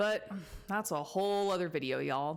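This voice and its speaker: Using an ordinary speaking voice, a woman talks at medium pitch and a moderate pace with lively intonation. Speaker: therapist. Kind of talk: casual commentary to camera.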